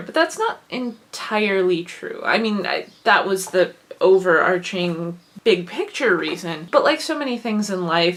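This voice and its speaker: Someone speaks at a moderate pace with a slight Wisconsin accent, with noticeable background noise. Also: woman. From Wisconsin, US Midwest. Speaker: vlogger and writer. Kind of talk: casual vlog monologue.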